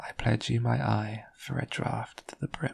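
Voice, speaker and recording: Whispering and soft-spoken, the speaker goes at a fairly slow pace. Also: man. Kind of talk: whispered story reading. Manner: soft, whispered.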